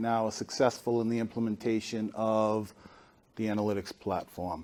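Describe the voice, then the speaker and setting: This man speaks with a Boston accent and a monotone, flat intonation. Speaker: consulting firm analytics leader, panelist. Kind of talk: conference panel talk. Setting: stage with audience.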